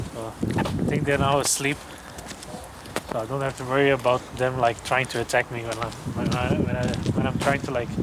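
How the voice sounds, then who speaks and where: A man with a non-native accent talks at medium pitch in a flat, monotone way. He speaks fairly quickly but leaves long, frequent pauses, with noticeable background noise behind him. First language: not English. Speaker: vlogger. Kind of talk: casual vlog monologue. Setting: outdoors. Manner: loud; halting. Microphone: camera microphone, quiet volume.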